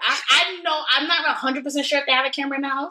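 A woman talks at a very fast pace in a high pitch, her tone bright and sharp. Her intonation stays fairly even.

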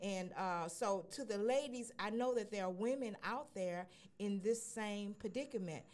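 A woman at a moderate pace and medium pitch, with ordinary pitch variation and an unremarkable speaking voice. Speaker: radio host. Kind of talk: casual radio chat.

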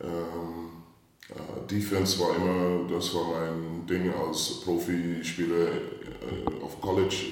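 Over noticeable background noise, a man with a very deep, low pitch talks at a very slow pace in a monotone, flat intonation with hardly any pauses. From US Midwest, St. Louis, Missouri. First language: English (speaking German). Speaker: basketball coach. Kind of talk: interview. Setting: reverberant room. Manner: halting. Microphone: echo.

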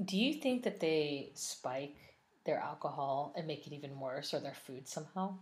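A woman speaks with a very deep, low pitch and a somewhat breathy sound. Her pace is moderate and her intonation lively. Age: 40s. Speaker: wine and food podcast co-host. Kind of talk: casual chat. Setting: home recording with spouse.

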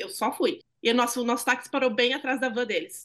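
A high-pitched woman speaks at a very fast pace. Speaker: podcast host. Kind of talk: casual chat.

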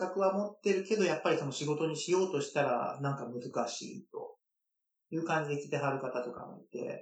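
A man with a normal speaking voice, fairly high in pitch, talks at a fairly quick pace with ordinary pitch variation and big swings in loudness. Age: 30s. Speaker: licensed tour guide, dancer and guide instructor. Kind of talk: interview.

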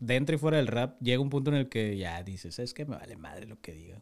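A man with an ordinary speaking voice talks at a moderate pace with lively intonation, recorded very cleanly over a silent background. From Tijuana, Mexico. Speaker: rapper. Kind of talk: casual chat.

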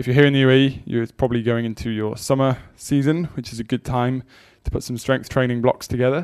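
A man speaks at a very fast pace in a medium pitch, his intonation fairly even. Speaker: podcast host and strength coach. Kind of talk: solo educational talk on strength training. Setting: Dubai-based.

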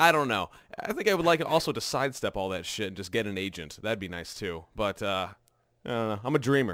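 Fairly low male voice with very wide pitch swings, moving at a fairly quick pace. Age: 20s. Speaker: podcast co-host and voiceover artist. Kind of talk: casual chat.

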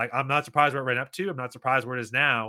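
A man talks at a very fast pace. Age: 30s. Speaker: crypto gaming content creator and investor. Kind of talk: casual interview.

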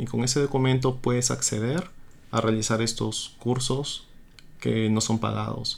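Moderate pace and fairly even intonation from a man at medium pitch, a plain, everyday voice. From Peru, Trujillo. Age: 20s. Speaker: doctor. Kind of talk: interview. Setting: radio studio.

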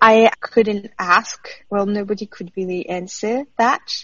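With a French accent, a woman talks very slowly in a somewhat breathy voice at a fairly high pitch. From France. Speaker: former PhD student, journalist. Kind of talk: interview.

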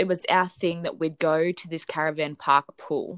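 Woman with an Australian accent, dry, close sound with no echo. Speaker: podcast co-host. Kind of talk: casual chat. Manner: animated.

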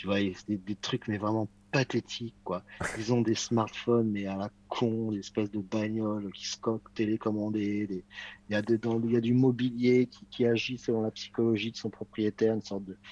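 This man speaks at a moderate pace in a fairly low, dark, mellow voice with monotone, flat intonation. The sound is dry and close with no echo. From France, Paris west suburbs. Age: 50s. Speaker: magazine editor-in-chief. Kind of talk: casual chat.

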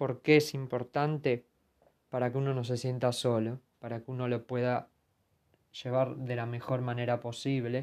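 Monotone, flat intonation in a Rioplatense accent. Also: man, medium pitch for a man, moderate pace. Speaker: podcast host, journalist. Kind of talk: scripted narration.

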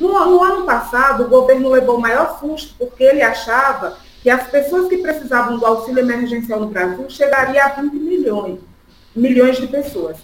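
A woman with a northeastern Brazilian accent speaks at a moderate pace in a high voice with lively intonation. Noticeable background noise and audible room echo surround her. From Brazilian Northeast (Pernambuco sertão, raised in Sergipe). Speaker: political activist. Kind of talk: political interview.

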